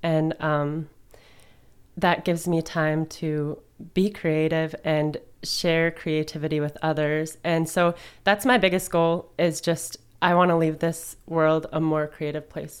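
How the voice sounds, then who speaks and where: The woman's pitch is fairly low, with monotone, flat intonation. She talks at a very slow pace. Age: 20s. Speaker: resale store owner and musician. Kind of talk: casual interview chat. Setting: studio.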